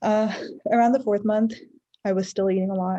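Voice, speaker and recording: At a fairly quick pace, the voice sounds somewhat breathy, with a dark, mellow tone. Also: woman. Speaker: vlogger. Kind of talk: casual vlog talk. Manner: soft-spoken.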